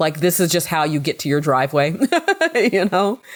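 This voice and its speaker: A woman is speaking. Her intonation is lively. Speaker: gaming YouTuber. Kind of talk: let's play commentary. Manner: animated.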